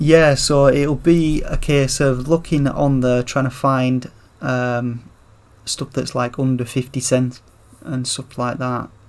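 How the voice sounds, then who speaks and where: A man speaks very slowly at a medium pitch, his intonation flat and monotone. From northern England, Rochdale near Manchester. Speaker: video game streamer. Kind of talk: live gameplay commentary. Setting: livestream. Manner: casual, conversational; deliberately clear enunciation.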